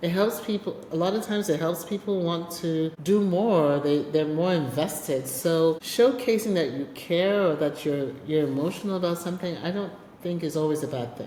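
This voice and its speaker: Amid noticeable background noise and audible room echo, a woman with a fairly low pitch talks in an animated tone at a moderate pace, with hardly any pauses and ordinary pitch variation. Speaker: podcast host and business executive. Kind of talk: casual interview chat. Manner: loud, animated.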